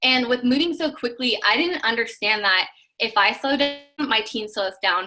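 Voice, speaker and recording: The speaker uses lively intonation with music in the background. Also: woman, high pitch for a woman. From Washington State, US. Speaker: network marketing team member. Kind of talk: personal testimony on video call. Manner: fast.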